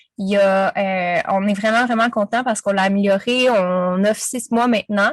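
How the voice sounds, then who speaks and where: A woman's voice, medium in pitch, very slow, with fairly even intonation. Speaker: business coach. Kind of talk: interview. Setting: podcast.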